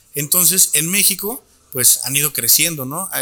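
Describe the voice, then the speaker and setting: A man speaks at a moderate pace and a fairly high pitch over noticeable background noise. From Torreón, Coahuila, northern Mexico. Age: 30s. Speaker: chef and wine educator. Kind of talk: guided tasting; casual interview chat. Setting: restaurant.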